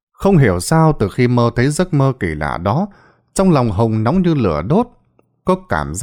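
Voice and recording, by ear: With quiet surroundings, the text is read aloud in a natural voice.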